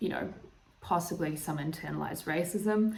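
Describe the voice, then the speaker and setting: A woman with a New Zealand accent talks at a moderate pace, with audible room echo. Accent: Kiwi. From New Zealand, Northland. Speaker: YouTuber. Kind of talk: casual vlog monologue. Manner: hesitant, many fillers.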